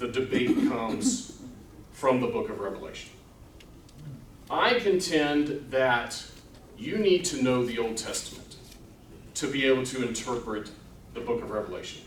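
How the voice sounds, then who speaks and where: Pausing long and often, a man speaks at a medium pitch with lively intonation amid audible room echo. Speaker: Bible class teacher. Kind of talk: lecture. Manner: loud.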